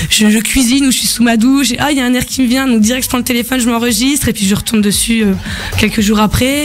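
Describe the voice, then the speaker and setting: A woman speaks very fast at a fairly high pitch, her intonation fairly even, with noticeable background noise. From France. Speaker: singer-songwriter. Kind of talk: radio interview. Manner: hesitant, many fillers.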